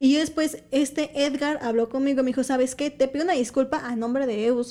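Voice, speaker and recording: On a very clean recording with a silent background, a woman with a Mexican accent speaks fairly quickly at a high pitch, her tone dark and mellow with ordinary pitch variation. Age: 20s. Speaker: sports journalist. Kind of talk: casual chat.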